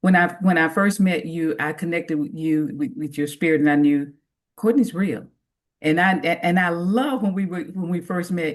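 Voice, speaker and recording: This woman's voice sits fairly low in pitch, and her intonation is lively. She speaks at a moderate pace. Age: 60s. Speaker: interview guest, jail ministry volunteer. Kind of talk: testimony. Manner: halting, repeats words.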